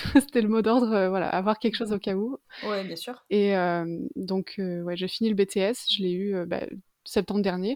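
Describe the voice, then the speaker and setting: In a quiet background with a dry, close sound and no echo, a woman uses a normal speaking voice at a medium pitch, a fairly slow pace and fairly even intonation. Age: 20s. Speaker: freelance illustrator. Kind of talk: casual interview.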